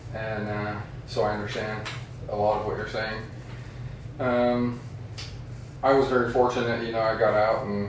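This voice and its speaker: Speaking at a moderate pace with long, frequent pauses, a man uses a medium pitch and a monotone, flat delivery, with audible room echo and noticeable background noise. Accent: American. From Wyoming, US. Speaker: navy veteran. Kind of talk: casual chat.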